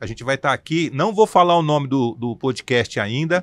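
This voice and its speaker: This man has an ordinary speaking voice, fairly high in pitch, moving at a fairly quick pace with lively intonation, recorded very cleanly with a silent background and a dry, close sound with no echo. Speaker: podcast host; works in communication and television. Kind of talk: podcast introduction.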